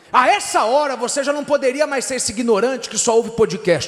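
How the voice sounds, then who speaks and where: Over noticeable background noise, the voice is raised and projected, animated in tone, at a moderate pace. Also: man. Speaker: pastor. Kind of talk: sermon.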